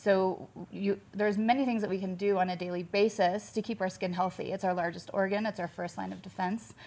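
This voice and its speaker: A woman speaks with an American accent at a medium pitch. Her pace is fairly quick and her intonation monotone and flat. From US Midwest, Kansas City. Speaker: med spa owner. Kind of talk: interview chat.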